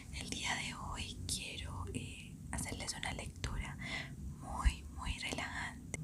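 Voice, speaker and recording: A voice whispers at a very slow pace. Noticeable background noise sits behind it. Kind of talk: casual talk to camera. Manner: whispered, soft.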